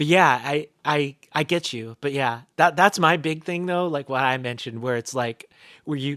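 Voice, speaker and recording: The recording is very clean, with a silent background. A man with an American accent speaks at a fairly high pitch with fairly even intonation. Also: dry, close sound with no echo. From US South, North Carolina (near Asheville). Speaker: band vocalist. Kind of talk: casual interview chat. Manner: halting, many fillers and restarts.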